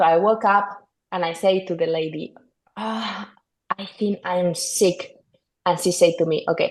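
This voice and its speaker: Speaking in a Spanish accent, a woman uses a fairly low pitch with ordinary pitch variation at a moderate pace. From northern Spain. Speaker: golf course superintendent. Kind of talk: podcast interview. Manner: halting, many fillers and repetitions.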